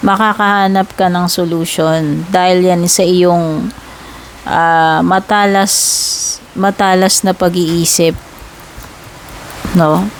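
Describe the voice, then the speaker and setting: Speaking very slowly with long, frequent pauses, a woman at a medium pitch keeps her intonation fairly even and her loudness very even over noticeable background noise. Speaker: tarot reader. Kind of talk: tarot reading. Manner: cannot speak loudly; casual, chatty with fillers.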